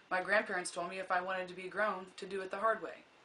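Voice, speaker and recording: Talking very quickly, a woman can be heard against noticeable background noise. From US Midwest, Kansas (Scranton). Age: 20s. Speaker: college student. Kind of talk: class speech, self-introduction.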